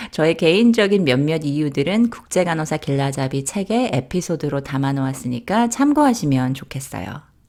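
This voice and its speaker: A woman with a very deep, low pitch and a dark, mellow tone talks at a moderate pace. Her pitch swings very widely, and she takes hardly any pauses. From South Korea. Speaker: nurse and author. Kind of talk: scripted narration.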